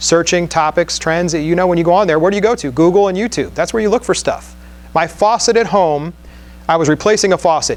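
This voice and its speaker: A man speaks fairly quickly in an animated tone with a high pitch. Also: ordinary pitch variation. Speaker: conference speaker on podcasting. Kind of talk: conference talk. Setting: stage with audience. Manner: fast.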